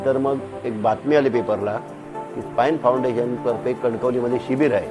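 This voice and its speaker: With music in the background, the voice shows ordinary pitch variation. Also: man. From Sindhudurg, Maharashtra, India. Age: 60s. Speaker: spine surgery patient. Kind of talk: patient testimonial interview.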